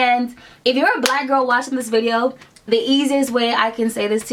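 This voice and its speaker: Over noticeable background noise, a woman with a high pitch talks at a moderate pace. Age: 20s. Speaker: beauty vlogger. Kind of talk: casual talk to camera.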